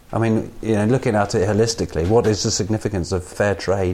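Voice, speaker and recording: Talking at a very fast pace, a man with an English accent keeps a medium pitch and a dark, mellow tone. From England. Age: 30s. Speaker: podcast co-host and performer. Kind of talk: casual chat. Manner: halting.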